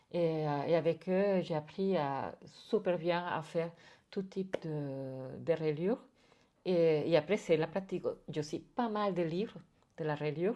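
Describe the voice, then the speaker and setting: Speaking in a Spanish accent, a woman with a fairly low pitch talks at a fairly slow pace, with ordinary pitch variation and long, frequent pauses. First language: Spanish (speaking French). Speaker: artist and bookbinding teacher. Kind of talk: interview. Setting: artist's studio. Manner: halting, many repetitions and hesitations.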